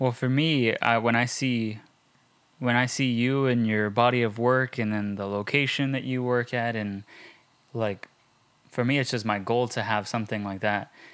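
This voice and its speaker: Speaking at a moderate pace, a man has a plain, everyday voice at medium pitch with fairly even intonation. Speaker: podcast host. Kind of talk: interview. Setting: studio.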